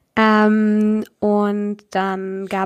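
The voice has a medium pitch. It belongs to a woman. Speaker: podcast co-host. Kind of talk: casual chat. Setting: remote recording. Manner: audible breathing into mic.

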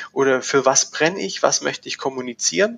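A man at a medium pitch swings very widely in pitch while keeping a moderate pace. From Swabia, near Stuttgart. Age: young. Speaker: agency managing director. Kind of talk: casual interview. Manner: hesitant, many fillers.

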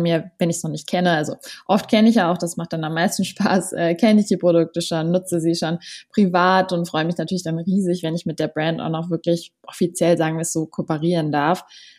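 A woman's fairly low, monotone voice with flat intonation at a fairly quick pace, in a very clean recording with a silent background. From Berlin, Germany. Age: 20s. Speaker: social media influencer. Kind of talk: interview.

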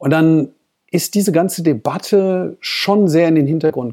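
A man's dark, mellow tone at fairly high pitch, dry and close with no echo, in a very clean recording with a silent background. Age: 50s. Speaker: corporate spokesperson. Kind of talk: interview.

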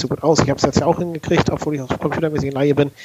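A man speaks at a fairly high pitch in a monotone with flat intonation. Noticeable background noise runs underneath. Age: 40s. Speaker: podcast co-host, civil servant. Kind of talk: casual podcast chat.

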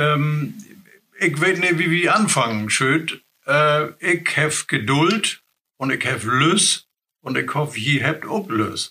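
In a northern German accent, a man speaks very slowly with a fairly high pitch, a bright, sharp tone, very even loudness and lively intonation. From northern Germany, Wursten coast near Bremerhaven. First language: Low German (speaking German). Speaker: retired colleague, Low German speaker. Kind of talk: language lesson, casual chat.

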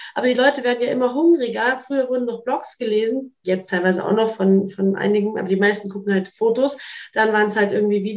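A woman talks very fast in a fairly high voice, her pitch rising and falling in an ordinary way. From Munich, Bavaria. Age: 20s. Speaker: model, influencer and actress. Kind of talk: casual conversation.

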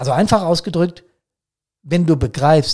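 A man speaks at a moderate pace. His tone is dark and mellow, and somewhat breathy. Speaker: podcast host, fire service officer. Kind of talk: solo podcast monologue. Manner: hectic; frequent fillers and repetitions.

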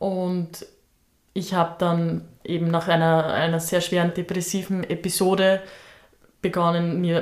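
Speaking at a fairly slow pace, a woman keeps her fairly low pitch in a monotone, flat intonation. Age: 20s. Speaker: spiritual podcast co-host. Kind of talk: personal storytelling.

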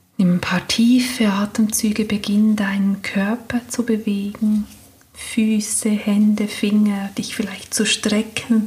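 Over noticeable background noise, a woman with a fairly high pitch speaks at a very slow pace in a calm, soothing tone, her intonation monotone and flat. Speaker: meditation guide. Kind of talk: guided meditation. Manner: slow, calm, soothing, gentle; long pauses between soft instructions.

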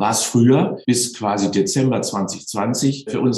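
Noticeable background noise sits under a man speaking at medium pitch with ordinary pitch variation. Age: 60s. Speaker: sports science professor. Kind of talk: interview.

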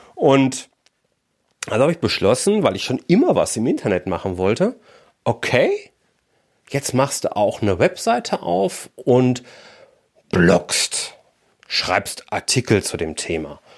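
An upbeat man with a medium pitch and vocal fry speaks at a very slow pace with very wide pitch swings. Long, frequent pauses break up his speech. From Germany, Ruhr area (Bochum). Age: 40s. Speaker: business mentor and podcaster. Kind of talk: podcast monologue. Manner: casual, upbeat.

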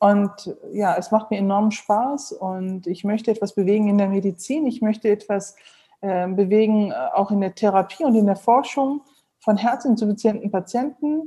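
A woman with a normal speaking voice, a moderate pace and ordinary pitch variation. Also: medium pitch for a woman. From Germany, Neuss (Rhineland). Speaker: heart surgeon. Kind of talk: interview.

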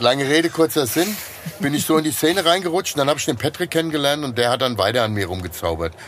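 Over noticeable background noise, a man with a fairly high voice talks at a very fast pace with lively intonation. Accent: Hessian. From Hesse, Germany (Liederbach). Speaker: former bouncer, magician. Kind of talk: casual chat.

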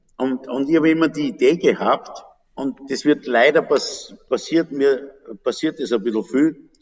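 Using an ordinary speaking voice, a man talks at a fairly slow pace with a fairly high pitch and ordinary pitch variation. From Upper Austria. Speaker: fruit brandy distiller. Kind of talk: casual interview.

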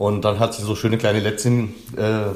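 A man with a fairly low pitch, at a fairly quick pace. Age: 30s. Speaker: language coach trainee. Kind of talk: interview.

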